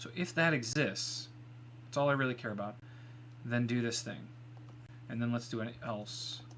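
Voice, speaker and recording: With audible room echo, a man mumbles at a moderate pace and medium pitch, using fairly even intonation and long, frequent pauses. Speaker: live-streaming software developer. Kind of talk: live coding stream. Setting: live stream. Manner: mumbling; quiet when focused.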